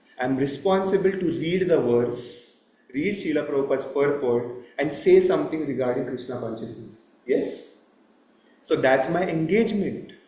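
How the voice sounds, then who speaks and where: Audible room echo around a moderately paced male voice, fairly high in pitch. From India. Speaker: temple lecturer. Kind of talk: religious talk. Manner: loud.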